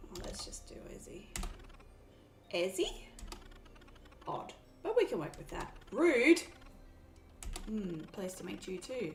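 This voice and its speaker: A woman with an Australian accent speaks fairly slowly, with long, frequent pauses and big swings in loudness, amid audible room echo. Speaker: gaming streamer. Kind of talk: let's play commentary. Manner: casual.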